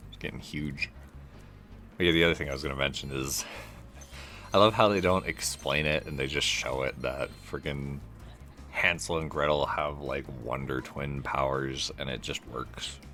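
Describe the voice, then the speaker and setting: Very deep, low pitch from a man, with ordinary pitch variation, a moderate pace, long, frequent pauses and music in the background. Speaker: gaming video creator. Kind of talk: let's play commentary. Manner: casual, meandering.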